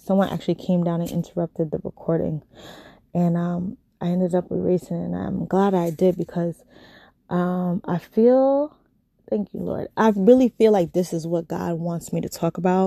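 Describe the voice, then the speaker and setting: With a New York accent, a woman speaks at a moderate pace and fairly low pitch with ordinary pitch variation, the sound dry and close with no echo. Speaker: podcast host, nurse. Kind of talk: casual solo podcast chat. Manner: animated.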